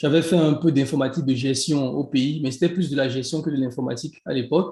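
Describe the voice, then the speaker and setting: Speaking very fast in a Beninese accent, a man with a fairly high pitch has a dark, mellow tone that is somewhat breathy. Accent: Beninese (African French). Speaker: e-commerce entrepreneur and coach. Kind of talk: interview.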